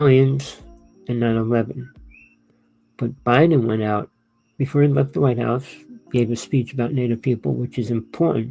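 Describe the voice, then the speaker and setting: A man's medium-pitched voice at a moderate pace with ordinary pitch variation and long, frequent pauses, music playing in the background. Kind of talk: monologue to camera. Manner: rambling, conversational.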